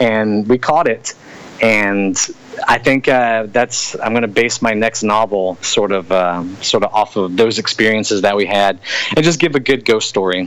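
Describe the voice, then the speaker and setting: Noticeable background noise runs under this recording. A man with an American accent talks at a moderate pace and fairly low pitch, his loudness very even. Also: ordinary pitch variation. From Louisiana. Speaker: author and soldier. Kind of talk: interview. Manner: casual.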